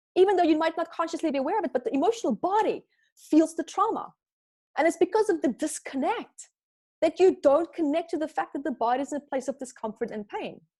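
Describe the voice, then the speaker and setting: An extremely high-pitched woman with a non-native accent, a dark, mellow tone, lively intonation and a very fast pace. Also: dry, close sound with no echo. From Namibia. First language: not English. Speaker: spiritual teacher and author. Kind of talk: podcast interview.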